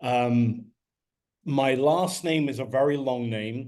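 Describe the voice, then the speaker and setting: A man speaks with an English accent at medium pitch. Audible room echo surrounds his voice. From London, England. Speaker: business distributor. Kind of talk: testimony.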